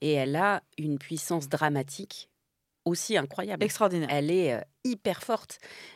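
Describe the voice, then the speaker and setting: A woman with an unremarkable speaking voice talks at a moderate pace with lively intonation and a fairly low pitch. The recording is very clean, dry and close, with a silent background and no echo. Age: 50s. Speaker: actress and comedian. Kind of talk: casual chat.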